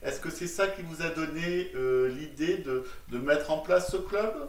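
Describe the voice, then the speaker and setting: There is noticeable background noise. A man talks in a fairly high voice with ordinary pitch variation. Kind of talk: interviewer questions.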